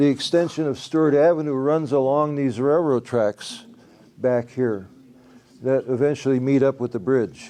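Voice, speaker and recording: Man's voice of medium pitch, dark and mellow in tone, with ordinary pitch variation. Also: moderate pace. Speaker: local artist presenting his work. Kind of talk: public presentation with audience questions. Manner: raised voice to carry in room.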